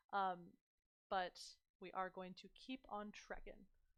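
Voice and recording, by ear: Speaking at a fairly slow pace, a woman with a medium pitch and a clear, smooth tone shows little pitch movement.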